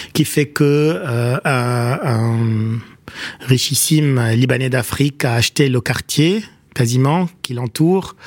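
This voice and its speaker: At a very slow pace, a man talks in a medium pitch. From Lebanon, Beirut (Achrafieh). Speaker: writer and political scientist. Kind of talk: radio interview. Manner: halting, many hesitations.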